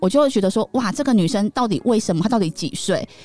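A woman's voice with very wide pitch swings. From Taiwan, Taichung. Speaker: podcast host and image consultant. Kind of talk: casual chat.

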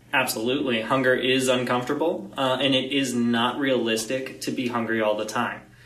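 A man with a medium pitch, flat monotone intonation, a fairly quick pace and hardly any pauses, amid audible room echo and noticeable background noise. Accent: American. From Florida. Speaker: dietitian. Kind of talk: interview on nutrition.

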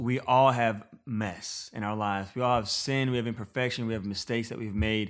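Talking at a fairly quick pace, a man has a plain, everyday voice with a medium pitch and ordinary pitch variation. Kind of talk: casual interview chat. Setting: in person.

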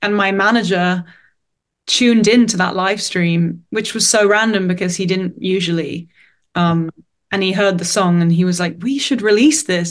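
Over a quiet background, a woman with a London accent talks at a moderate pace, with medium pitch and ordinary pitch variation. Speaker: singer-songwriter. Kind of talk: casual interview. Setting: video call.

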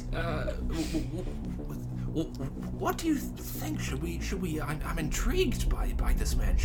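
A man's put-on character voice at a moderate pace over loud music in the background. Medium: actual play. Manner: stammering, hesitant.

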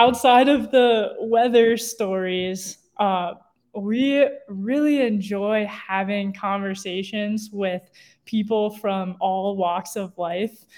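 The speaker has an American accent and talks at a very slow pace with ordinary pitch variation. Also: woman, medium pitch for a woman. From Ohio (Cincinnati). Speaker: outdoor ethics educator. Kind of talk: interview.

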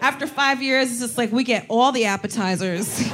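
There is noticeable background noise behind a woman with a fairly high pitch. She talks at a fairly quick pace with ordinary pitch variation. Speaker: comedian talk show host. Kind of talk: live comedy talk show, banter and interview. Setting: stage with audience. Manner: animated, joking.

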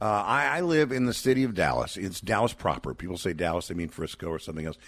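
Vocal fry runs through a man's very fast speech, his pitch swinging very widely in a very clean recording with a silent background. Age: 60s. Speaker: pro-life ministry advocate. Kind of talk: radio fundraising interview.

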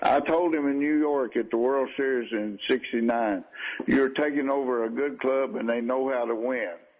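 There is noticeable background noise as a man speaks at a fairly slow pace. His pitch is medium and his intonation fairly even. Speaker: retired baseball manager. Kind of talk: radio interview. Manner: halting.

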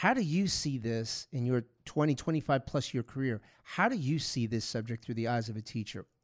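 In an American accent, a man with an ordinary speaking voice talks at a moderate pace and medium pitch with lively intonation, the sound dry and close with no echo. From New York (Long Island, Bronx). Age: 50s. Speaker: security expert and podcast host. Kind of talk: casual interview.

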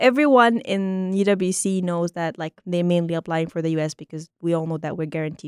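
A woman speaks very fast at a fairly low pitch with ordinary pitch variation. The recording is very clean with a silent background, and the sound is dry and close with no echo. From small town, Egypt. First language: Arabic. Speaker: university student. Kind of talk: casual interview. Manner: friendly, laughs often.

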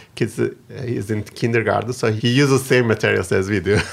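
Vocal fry marks this man's fairly low voice, delivered with a Turkish accent and fairly even intonation. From Turkey. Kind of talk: interview.

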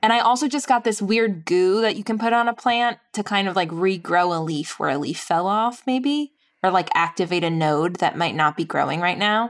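A woman with an American accent has a plain, everyday voice at medium pitch. Her intonation is lively, with a moderate pace and hardly any pauses. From New York. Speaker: podcast writer and host, houseplant enthusiast. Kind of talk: casual conversation on a game show.

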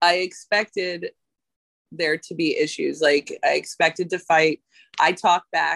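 With an American accent, a woman speaks at a fairly slow pace in a dry, close sound with no echo. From US South, Georgia. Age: 40s. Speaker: tattoo artist. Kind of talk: casual chat.

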